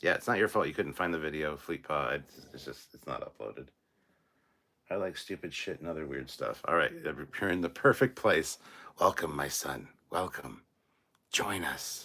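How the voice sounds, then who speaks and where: A man's loudness swings widely as he talks at a moderate speed. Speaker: YouTube channel host, livestreamer. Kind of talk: live stream chat reading comments. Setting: live stream. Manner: says um a lot; casual, animated.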